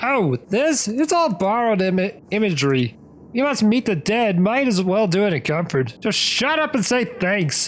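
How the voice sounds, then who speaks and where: A man's gruff, high-pitched put-on character voice at a moderate pace. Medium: read story. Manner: gruff, goofy.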